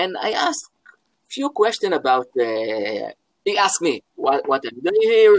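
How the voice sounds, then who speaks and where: Speaking in an Israeli accent, a man talks at a fairly slow pace with big swings in loudness. The sound is dry and close, with no echo. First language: Hebrew. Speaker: philosophy professor. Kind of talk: interview. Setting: at home, video call. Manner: halting.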